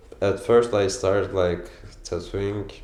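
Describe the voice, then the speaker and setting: Amid audible room echo, a man speaks in a very deep, low pitch with a dark, mellow tone. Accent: Turkish. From Turkey. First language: Turkish. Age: 20s. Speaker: tattoo artist. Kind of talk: documentary interview. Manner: halting, many fillers.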